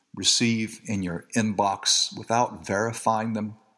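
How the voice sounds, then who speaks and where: A man speaks at medium pitch with an American accent. He has an ordinary speaking voice. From US Northeast, New Jersey. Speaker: Bible teacher. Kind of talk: scripted talk.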